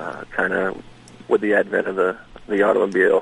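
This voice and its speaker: A man with an American accent at a moderate pace, the sound dry and close with no echo. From Maine, US. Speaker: museum director, retired Marine. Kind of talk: radio interview.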